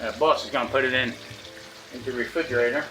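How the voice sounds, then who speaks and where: A man speaks very fast at a fairly high pitch, with ordinary pitch variation. Room echo is audible and background noise is noticeable. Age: 60s. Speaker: cooking channel host. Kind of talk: casual cooking tutorial. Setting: home kitchen. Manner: casual, halting with restarts.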